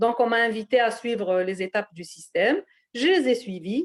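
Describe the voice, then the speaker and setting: In a very clean recording with a silent background and a dry, close sound with no echo, a woman speaks at a moderate pace with lively intonation. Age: 60s. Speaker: retiree giving a testimonial. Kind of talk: testimony. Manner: halting.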